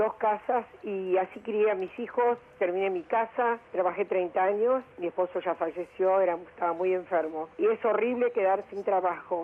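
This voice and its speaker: Noticeable background noise sits behind a woman speaking with fairly even intonation. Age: 70s. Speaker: listener leaving a voice message. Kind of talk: recorded voice message.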